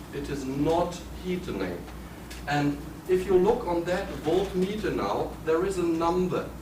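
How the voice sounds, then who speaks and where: In a German accent, a man speaks fairly slowly at a high pitch with ordinary pitch variation, with audible room echo and noticeable background noise. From Germany. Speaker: building biology lecturer. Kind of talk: seminar lecture with demonstration. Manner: halting.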